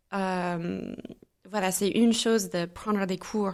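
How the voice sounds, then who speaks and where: Very slow speech from a woman with an American accent, medium pitch and fairly even intonation, on a very clean recording with a silent background. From US Midwest, St. Louis, Missouri. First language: English (speaking French). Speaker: entrepreneur and mastermind founder. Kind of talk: podcast interview. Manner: hesitant, many filler sounds.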